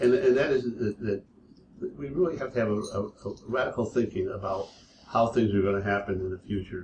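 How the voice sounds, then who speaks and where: An unremarkable speaking voice from a man at medium pitch, fairly quick in pace, with lively intonation. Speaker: discussion group organizer. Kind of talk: group discussion. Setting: in-person meeting room.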